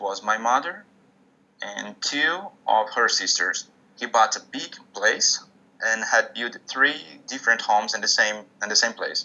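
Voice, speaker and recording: A man with a Portuguese accent at a fairly slow pace, with big swings in loudness. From Brazil, northeast. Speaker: musician. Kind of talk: interview.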